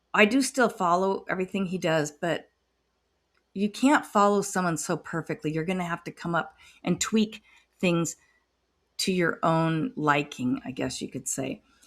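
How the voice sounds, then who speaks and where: A woman with an ordinary speaking voice talks at a fairly slow pace with lively intonation and a medium pitch. The recording is very clean, with a silent background. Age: 60s. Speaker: retiree day trader. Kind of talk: casual screen-share trading recap.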